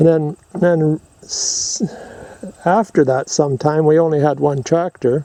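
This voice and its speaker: A man talks at a fairly slow pace with a fairly high pitch and fairly even intonation. The sound is dry and close with no echo, and there is noticeable background noise. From rural North America, family homestead. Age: 70s. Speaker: video creator. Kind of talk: casual chat.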